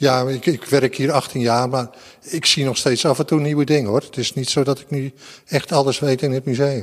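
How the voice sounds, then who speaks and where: An unremarkable speaking voice moves at a moderate pace with fairly even intonation. Its loudness swings widely. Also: man, medium pitch for a man. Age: 60s. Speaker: museum security guard. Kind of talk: interview.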